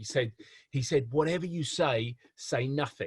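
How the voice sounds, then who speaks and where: The speaker has an English accent and a somewhat breathy voice. Pitch varies in an ordinary way at a moderate pace. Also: man. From England. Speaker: professor. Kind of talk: lecture. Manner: hesitant, many repetitions and fillers.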